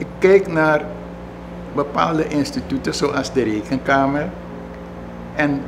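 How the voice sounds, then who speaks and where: A man amid noticeable background noise. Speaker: former politician recalling history. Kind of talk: interview answer. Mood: relaxed, amused storytelling. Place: home room.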